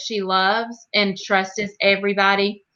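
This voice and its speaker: A bright, sharp tone from a woman at medium pitch. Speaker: mother of a child with Williams syndrome. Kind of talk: interview answer. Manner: emotional, warm, hesitant.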